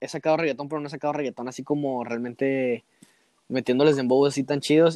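A man talks fairly quickly at a fairly high pitch in a monotone, flat intonation. The sound is dry and close, with no echo. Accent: Mexican. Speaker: musician. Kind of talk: casual chat.

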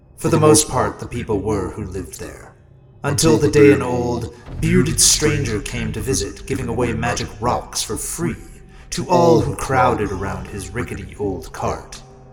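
A man does a raspy, put-on character voice at medium pitch and a moderate pace. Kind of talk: horror storytelling. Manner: relishing, sinister.

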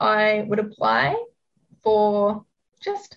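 A woman speaks with a New Zealand accent at a fairly high pitch. Her voice is somewhat breathy. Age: 20s. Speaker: psychic and spiritual business coach. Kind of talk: casual interview chat.

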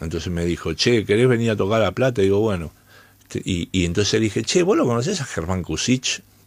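On a very clean recording with a silent background, a man speaks at a very fast pace, his fairly low pitch showing ordinary variation. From Argentina, Buenos Aires. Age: 60s. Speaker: jazz bassist. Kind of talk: interview.

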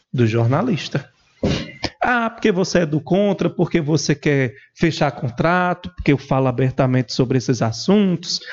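A man speaks with a northeastern Brazilian accent at a fairly high pitch for a man, his voice somewhat breathy. His pace is moderate, his intonation lively, and his loudness very even. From Paraíba, Brazil. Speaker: political journalist. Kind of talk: podcast interview.

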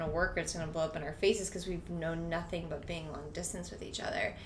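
A woman speaks over noticeable background noise. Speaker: gym member. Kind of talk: casual chat.

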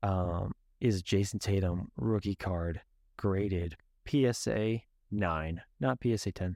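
Heard dry and close with no echo on a very clean recording with a silent background, a man with a fairly low pitch and a dark, mellow tone speaks with ordinary pitch variation and long, frequent pauses. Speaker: podcast host. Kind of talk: casual solo podcast monologue. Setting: home video podcast in bedroom. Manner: casual, many filler words.

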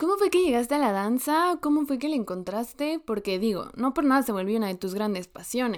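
With hardly any pauses, a woman speaks at a fairly quick pace in a high pitch that makes very wide swings. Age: 20s. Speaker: podcast co-host. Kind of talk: casual chat.

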